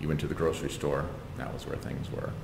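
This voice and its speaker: A man with an American accent speaks in a room with audible echo and noticeable background noise. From Southern California, Ventura County. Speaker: community gardener. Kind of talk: oral history interview. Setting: at his home.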